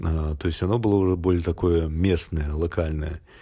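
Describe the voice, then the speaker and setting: A somewhat breathy voice with a dark, mellow tone speaks at a moderate pace. The recording is very clean, with a silent background. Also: man. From Belarus. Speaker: traveller vlogger. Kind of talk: monologue storytelling. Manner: casual, with filler hesitations.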